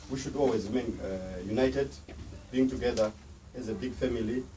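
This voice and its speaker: Audible room echo surrounds a man who speaks at a very fast pace. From Africa. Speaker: event organizer. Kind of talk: closing speech at commemoration. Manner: hesitant, many fillers.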